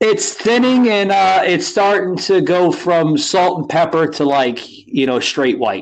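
At a fairly slow pace with hardly any pauses, a man with an American accent speaks at a high pitch, his voice swinging very widely up and down. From New Jersey / New York City area. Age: 40s. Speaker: podcast host. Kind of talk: casual chat.

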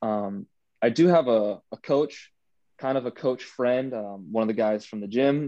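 Against a quiet background, a man with an American accent speaks fairly slowly at a medium pitch, his dark, mellow tone showing ordinary pitch variation. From Northern Virginia, US. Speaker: college student and powerlifter. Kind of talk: podcast interview.

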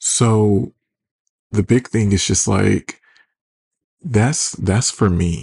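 A somewhat breathy man with an American accent speaks very slowly at a fairly low pitch with ordinary pitch variation and long, frequent pauses. His loudness stays very even, and the sound is dry and close with no echo. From Detroit, US Midwest. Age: 30s. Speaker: podcast host. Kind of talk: casual solo podcast monologue. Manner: sarcastic, casual, chatty.

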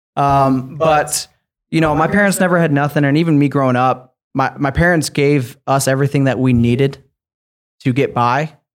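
A man with an American accent and an unremarkable speaking voice, fairly high in pitch with fairly even intonation, at a moderate pace. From Michigan (Sparta, near Grand Rapids). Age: 20s. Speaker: real estate investor. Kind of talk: podcast interview.

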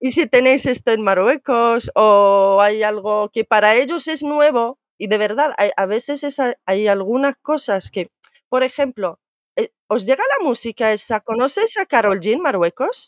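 With a plain, everyday voice, a woman speaks fairly slowly at a fairly high pitch, her intonation lively. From Morocco, Tangier. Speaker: immigrant sharing experience. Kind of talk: casual chat.

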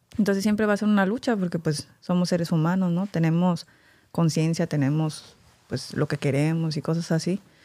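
A woman's fairly low-pitched voice with a dark, mellow tone, a moderate pace and very even loudness. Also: ordinary pitch variation, very clean recording, silent background. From Mexico. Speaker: doctor. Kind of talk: casual chat.

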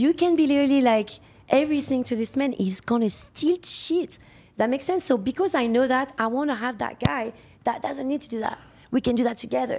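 This woman talks at a fairly quick pace in a French accent, her voice high with ordinary pitch variation. The recording is very clean, with a silent background. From France. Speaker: sex worker. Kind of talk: podcast interview.

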